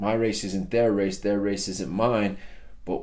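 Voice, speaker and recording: A man talks at a fairly low pitch, and audible room echo hangs around his voice. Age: 30s. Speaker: personal development speaker. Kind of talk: motivational talk.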